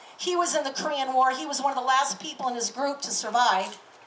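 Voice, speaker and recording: Someone with an American accent talks at a fairly quick pace. Audible room echo surrounds the voice. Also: woman. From California. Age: 50s. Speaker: military reservist and activist. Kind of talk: public speech.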